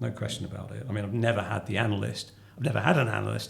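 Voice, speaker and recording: Against noticeable background noise, a man with a southeast English accent speaks at a fairly low pitch with ordinary pitch variation. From southeast London. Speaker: company finance chief. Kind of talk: interview conversation. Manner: halting.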